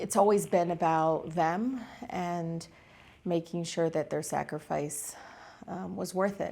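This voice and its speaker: A woman talks very slowly in a fairly low, dark, mellow voice with vocal fry and ordinary pitch variation. The recording is very clean, with a silent background. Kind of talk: personal testimony.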